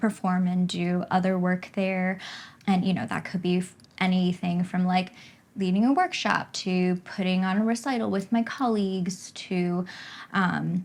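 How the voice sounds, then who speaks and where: A woman with an American accent speaks at a medium pitch, her voice somewhat breathy and her intonation fairly even, on a very clean recording with a silent background. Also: fairly slow pace. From US East Coast. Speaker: flutist and pianist. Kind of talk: casual interview.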